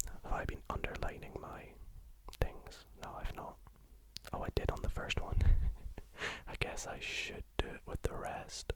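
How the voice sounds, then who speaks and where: A man whispering at a fairly slow pace, with long, frequent pauses and noticeable background noise. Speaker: ASMR maths tutor. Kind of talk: ASMR maths lesson. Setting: home studio. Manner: whispered.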